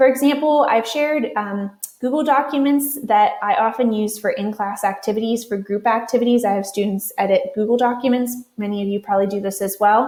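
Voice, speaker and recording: A woman with an American accent speaks at a fairly quick pace in a fairly high pitch, with ordinary pitch variation. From Western Pennsylvania. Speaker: university writing instructor. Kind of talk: conference presentation.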